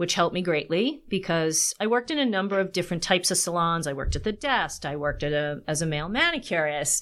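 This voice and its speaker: On a very clean recording with a silent background, a woman with an American accent talks at a very fast pace, her pitch fairly low with ordinary pitch variation. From Long Island, New York. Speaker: copywriter. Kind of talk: casual interview.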